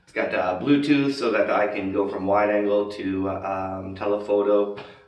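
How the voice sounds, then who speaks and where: A man speaks at a moderate pace with a fairly low pitch, fairly even intonation and big swings in loudness. Audible room echo and noticeable background noise surround him. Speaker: expat vlogger. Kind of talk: casual vlog tutorial. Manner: casual with many fillers.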